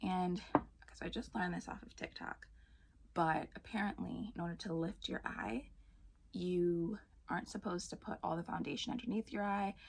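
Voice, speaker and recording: A soft-spoken woman talks at a fairly quick pace. Her pitch sits in the medium range, with ordinary variation. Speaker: beauty vlogger. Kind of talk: makeup tutorial.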